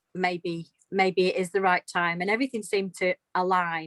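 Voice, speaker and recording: Speaking at a moderate pace with an English Midlands accent, a woman uses a medium-pitched voice and fairly even intonation in a dry, close sound with no echo. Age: 50s. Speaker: retired nurse, dog owner. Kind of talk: interview testimony.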